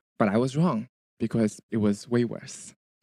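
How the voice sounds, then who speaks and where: Here a man talks with lively intonation and a dark, mellow tone. The sound is dry and close, with no echo. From China. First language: Chinese. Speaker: teacher. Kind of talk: personal testimony.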